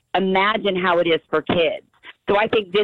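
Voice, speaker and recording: A woman's medium-pitched voice at a moderate pace, a plain, everyday voice. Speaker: anti-bullying advocate. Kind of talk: interview. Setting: phone call.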